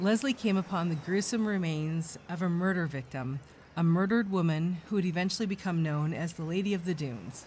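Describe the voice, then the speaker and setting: A woman's fairly low, somewhat breathy voice at a fairly quick pace, solemn in tone, with ordinary pitch variation. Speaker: true crime podcast host. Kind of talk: true-crime narration, measured and serious, reading a scripted case account. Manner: solemn, steady, formal.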